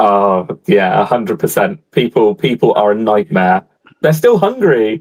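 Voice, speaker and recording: A man speaks at a fairly slow pace, keeping his loudness very even throughout. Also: dry, close sound with no echo. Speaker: aquarium YouTuber, livestream host. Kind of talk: casual livestream chat. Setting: live video stream.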